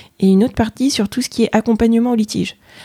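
A woman's somewhat breathy voice has a dark, mellow tone and ordinary pitch variation. The sound is dry and close, with no echo. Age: 30s. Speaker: chartered accountant and auditor. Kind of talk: interview. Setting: office. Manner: hesitant, many fillers.

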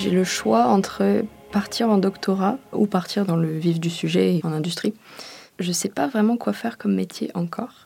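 Over music in the background, a woman speaks with a fairly low pitch. Her pitch swings very widely, and her pace is moderate. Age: 20s. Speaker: engineering student. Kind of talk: interview testimony.

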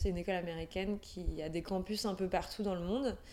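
A woman talking at a moderate pace. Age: 30s. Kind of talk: interview. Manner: halting.

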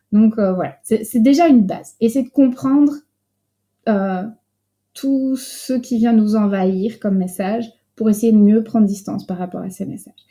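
A woman with a Belgian accent, fairly high-pitched and somewhat breathy, dark and mellow in tone, at a moderate pace with ordinary pitch variation and long, frequent pauses, on a very clean recording with a silent background. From France. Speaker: psychologist and coach. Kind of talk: interview.

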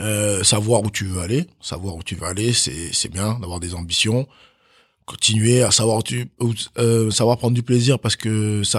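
On a very clean recording with a silent background and a dry, close sound with no echo, a man speaks at a moderate pace with a fairly low pitch and a somewhat breathy quality. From France, Chalon-sur-Saône (born in Benin, moved at 6). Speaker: professional handball player. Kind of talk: casual interview. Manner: halting, many fillers and repetitions.

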